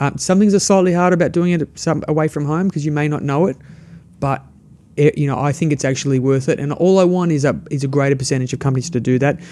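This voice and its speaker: A man with an Australian accent talks at a very fast pace in a dark, mellow tone, his pitch fairly high. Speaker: startup entrepreneur. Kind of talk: interview conversation. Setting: studio.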